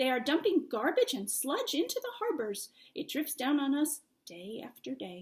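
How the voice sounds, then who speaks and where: Put-on character voice with very wide pitch swings. The pace is moderate. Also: woman, high pitch for a woman. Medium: read story.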